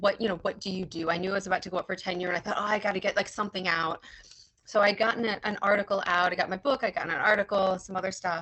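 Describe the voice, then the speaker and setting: A woman's medium-pitched voice, very fast and monotone, with flat intonation. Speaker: history professor. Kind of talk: lecture.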